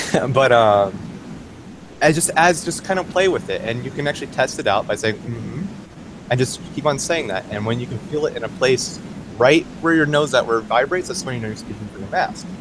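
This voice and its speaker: A man's lively intonation and fairly quick pace come through over noticeable background noise. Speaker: game master. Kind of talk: casual talk to camera.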